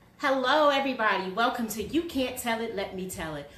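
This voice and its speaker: Over noticeable background noise and audible room echo, a woman with a fairly high pitch speaks with lively intonation. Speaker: talk show host. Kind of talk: casual interview. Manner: loud.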